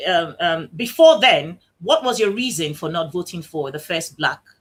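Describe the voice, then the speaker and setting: Loud and at a fairly slow pace, a woman at medium pitch speaks with very wide pitch swings. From Nigeria. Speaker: talk show host. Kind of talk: online show interview.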